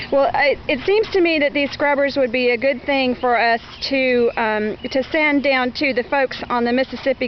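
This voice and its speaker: A woman with ordinary pitch variation over noticeable background noise. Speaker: interviewer. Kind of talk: casual interview questions.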